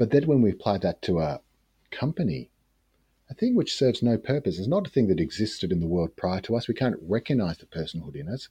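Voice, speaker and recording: A man with an Australian accent talks very fast in a dark, mellow tone, with very wide pitch swings and big swings in loudness. The sound is dry and close with no echo, over a quiet background. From rural Australia. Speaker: practicing magician and occultist. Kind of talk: casual interview. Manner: hesitant, with fillers.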